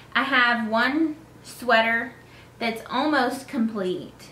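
In a Southern US accent, a woman speaks at a very slow pace with a fairly high pitch. There is audible room echo and light background noise. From North Carolina. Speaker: knitting podcaster. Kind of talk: casual chat. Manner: hesitant, many fillers.

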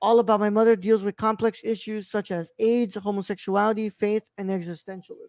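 A man speaks in a high voice with fairly even intonation. The sound is dry with no echo, over a quiet background. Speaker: podcast host. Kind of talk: reading film background info. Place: home room. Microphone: studio mic.

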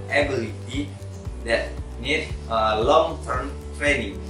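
Clear music plays in the background as a man speaks at a very slow pace, with audible room echo. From Pontianak, West Borneo, Indonesia. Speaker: university student. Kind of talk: class presentation to camera. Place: home room. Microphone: camera far.

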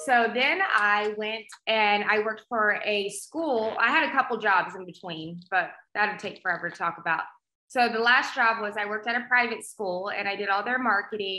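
A woman with an American accent and a bright, sharp tone, moderate pace, ordinary pitch variation, audible room echo and a quiet background. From South Texas, Rio Grande Valley; Texas. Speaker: agricultural show host and magazine publisher; agricultural show host. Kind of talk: casual interview chat. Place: home room. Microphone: video call.

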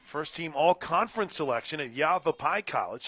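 This man has an ordinary speaking voice with lively intonation. He talks at a fairly quick pace. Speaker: softball radio announcer. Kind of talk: live play-by-play sports commentary. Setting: broadcast from the ballpark in El Paso. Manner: upbeat, polished, reads sponsor tags smoothly.

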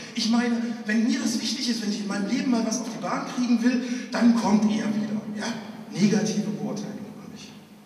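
A man talks at a fairly quick pace in a high pitch with monotone, flat intonation. Audible room echo surrounds his voice. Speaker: pastor and slam poet. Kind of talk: poetry slam performance, storytelling with dialogue. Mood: humorous storytelling. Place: church.

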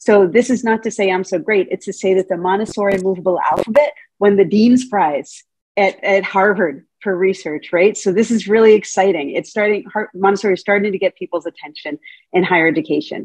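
A woman speaks at a fairly quick pace with a medium pitch and ordinary pitch variation. The sound is dry with no echo, over a quiet background. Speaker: Montessori teacher trainer. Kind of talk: lecture. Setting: video call. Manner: animated. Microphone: video call.

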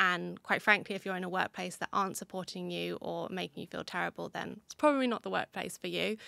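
A woman speaks with a British accent in a dry sound with no echo. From UK. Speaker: migraine advocate. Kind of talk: casual interview. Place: studio. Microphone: studio mic.

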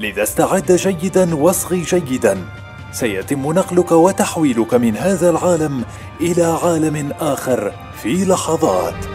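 Music plays in the background as a man speaks at a very slow pace. His fairly high voice has very wide pitch swings. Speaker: voice actor. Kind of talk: promo voice-over read.

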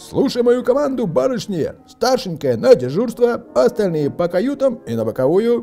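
Using a put-on character voice, a man talks at an extremely high pitch with vocal fry, big pitch swings, and a dark, mellow tone. He keeps a moderate pace as faint music plays in the background.

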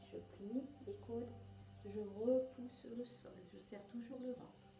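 Clear music plays behind a woman speaking at a very slow pace. Audible room echo surrounds her voice. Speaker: exercise instructor. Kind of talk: guided exercise instruction. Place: home room. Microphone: camera far.

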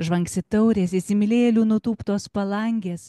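Her voice is somewhat breathy with a dark, mellow tone, and the woman's sound is dry with no echo. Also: quiet background. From Lithuania. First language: Lithuanian. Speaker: poet. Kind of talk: poetry reading; literary reading. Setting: live event in a library. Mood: calm, reflective. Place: hall. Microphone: handheld.

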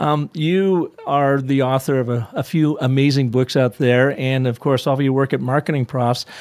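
A man at a moderate pace with very even loudness, fairly even intonation and hardly any pauses, over noticeable background noise. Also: medium pitch for a man. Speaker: podcast host. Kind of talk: interview.

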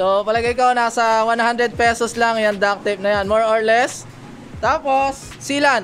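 This man's voice sits high for a male speaker. Light background noise can be heard. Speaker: cycling vlogger. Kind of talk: casual vlog tutorial. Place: shop. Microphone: phone near.

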